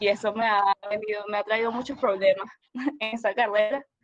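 Speaking at a moderate pace, a woman uses a fairly high voice with monotone, flat intonation. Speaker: illustration student. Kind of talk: casual chat.

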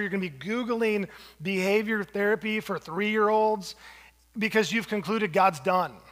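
Fairly quick speech from a man with a high voice and ordinary pitch variation. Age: 40s. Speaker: pastor. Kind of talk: sermon. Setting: church.

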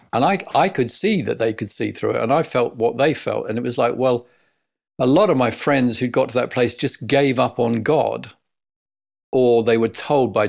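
On a very clean recording with a silent background, a man with a southern English accent speaks at a moderate pace and medium pitch, with vocal fry and ordinary pitch variation. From Essex, England. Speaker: leadership coach. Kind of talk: interview.

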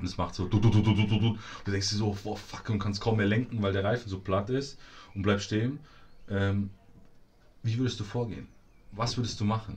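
With long, frequent pauses, a somewhat breathy man talks at a fairly quick pace and a fairly low pitch. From Munich, Bavaria. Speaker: podcast co-host. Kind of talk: casual chat. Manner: animated.

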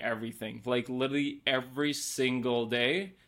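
The speaker has a Norwegian accent and talks at a fairly slow pace with fairly even intonation. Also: man. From Norway. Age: 30s. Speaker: photographer. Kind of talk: casual interview chat.

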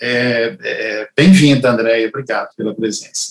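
Pitched in the medium range with ordinary variation, the man's voice proceeds at a fairly slow pace. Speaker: family lawyer and show host. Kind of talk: interview conversation. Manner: halting.

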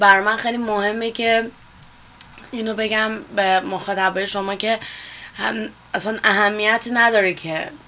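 A woman's fairly high, monotone, flat voice with long, frequent pauses, over noticeable background noise. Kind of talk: radio interview. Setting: studio.

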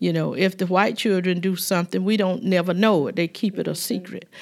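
Medium in pitch, a woman talks at a moderate pace with ordinary pitch variation. The recording is very clean, the background silent. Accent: Southern US. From US South, Georgia. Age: 70s. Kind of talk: casual chat, interview.

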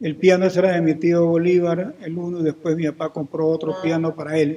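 This man speaks in a high voice at a moderate pace. His delivery is flat and monotone. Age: 60s. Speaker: historian and genealogist. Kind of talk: interview.

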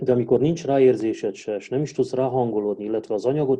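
A man with an ordinary speaking voice talks at a fairly quick pace, his medium pitch showing ordinary variation. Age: 40s. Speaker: Romanian language teacher. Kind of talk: casual interview.

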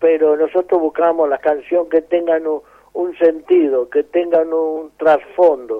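Monotone, flat intonation at a fairly slow pace. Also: man, fairly high pitch for a man. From Argentina, Mendoza (San Rafael). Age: 80s+. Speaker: folk musician. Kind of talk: interview.

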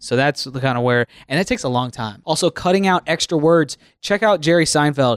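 In an ordinary speaking voice, a man talks at a moderate pace on a very clean recording with a silent background and a dry, close sound with no echo. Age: 30s. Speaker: podcast host and radio show producer. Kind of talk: casual chat.

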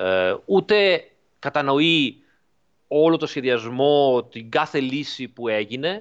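The background is quiet as a man speaks at a very slow pace. His pitch is fairly high and his intonation lively. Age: 40s. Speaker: driving simulator developer. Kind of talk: interview. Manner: halting.

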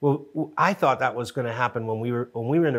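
This man has a normal speaking voice with an American accent, medium pitch, and ordinary pitch variation. He talks at a fairly quick pace on a very clean recording with a silent background. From Connecticut, New Haven. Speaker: TV show co-creator and producer. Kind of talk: casual interview chat. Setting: studio.

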